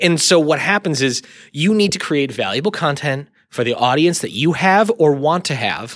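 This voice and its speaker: Over a very clean recording with a silent background, a man speaks in an ordinary speaking voice at a moderate pace with lively intonation. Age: 30s. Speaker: content marketing creative director. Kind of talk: casual interview.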